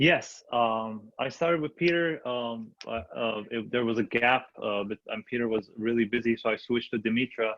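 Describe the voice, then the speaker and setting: Moderately paced male speech with ordinary pitch variation and hardly any pauses. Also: medium pitch for a man. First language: not English. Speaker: new real estate agent and investor. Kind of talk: panel discussion. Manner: halting, many fillers.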